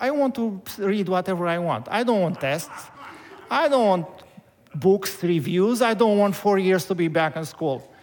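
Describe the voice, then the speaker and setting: Noticeable background noise sits behind this speaker. A man talks fairly slowly in a high pitch. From Romania. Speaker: pastor. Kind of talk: sermon. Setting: church. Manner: halting.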